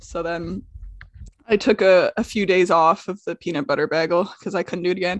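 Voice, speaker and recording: A woman with an unremarkable speaking voice talks at a fairly quick pace, her medium pitch rising and falling in an ordinary way. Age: 20s. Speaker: comedian and podcast co-host. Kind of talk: casual chat.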